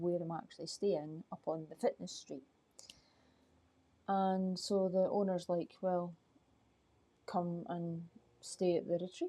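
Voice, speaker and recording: A soft-spoken woman with a dark, mellow tone and fairly low pitch, at a fairly slow pace with fairly even intonation and long, frequent pauses. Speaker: life coach. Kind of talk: live stream chat. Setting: outdoors at night.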